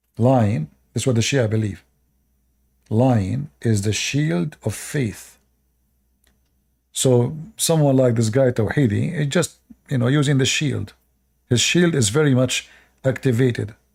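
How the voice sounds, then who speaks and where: A somewhat breathy voice at a fairly slow pace, broken by long, frequent pauses. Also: man, medium pitch for a man, ordinary pitch variation. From Middle East. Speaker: live streamer. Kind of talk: live stream commentary. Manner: hesitant, many fillers.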